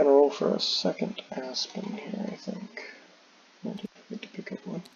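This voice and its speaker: A man's intonation is lively, and noticeable background noise comes through too. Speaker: board game designer. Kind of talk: tutorial playthrough. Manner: casual, halting with fillers.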